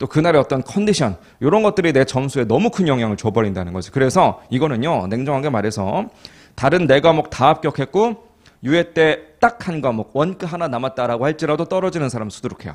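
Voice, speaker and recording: Very wide pitch swings from a man with a fairly high voice, moving at a fairly quick pace. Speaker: accounting exam lecturer. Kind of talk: lecture. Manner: slightly muffled articulation; conversational, frequent check questions.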